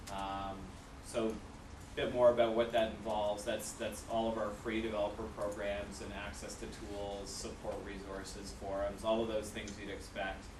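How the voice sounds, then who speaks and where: Over noticeable background noise and audible room echo, a man speaks at a fairly low pitch and moderate pace in a monotone, flat delivery. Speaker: tech company developer relations manager. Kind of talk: conference presentation. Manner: hesitant, many fillers.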